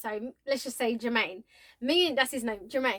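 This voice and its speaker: A woman speaks loudly in an animated tone at a high pitch and a moderate pace, on a very clean recording with a silent background. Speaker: vlogger. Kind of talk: casual storytelling.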